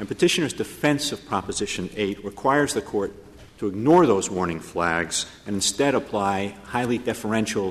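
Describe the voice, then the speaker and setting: With a plain, everyday voice, a man speaks at a fairly low pitch and a moderate pace, his intonation lively. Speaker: government attorney arguing as amicus. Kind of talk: courtroom oral argument, formal legal advocacy. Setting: courtroom, Supreme Court hearing. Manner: formal, measured, occasionally wry and chuckling.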